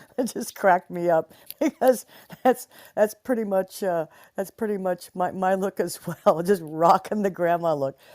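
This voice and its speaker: This woman has a plain, everyday voice at medium pitch. She talks at a moderate pace with ordinary pitch variation. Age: 60s. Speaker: guest from the audience. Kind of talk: casual chat. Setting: social audio app stage.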